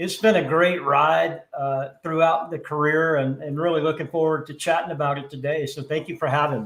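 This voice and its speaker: In an American accent and a plain, everyday voice, a man talks at a fairly quick pace with hardly any pauses, his pitch fairly high and his intonation fairly even. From US South. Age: 60s. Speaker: HVAC industry executive. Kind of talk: interview. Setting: live stream.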